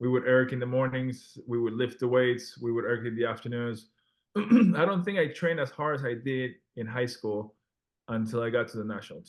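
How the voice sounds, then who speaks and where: A man with a Spanish accent, medium pitch, ordinary pitch variation, big swings in loudness and a fairly quick pace. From Peru. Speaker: former Olympic rower and restaurant owner. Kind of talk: podcast interview. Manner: halting, many restarts.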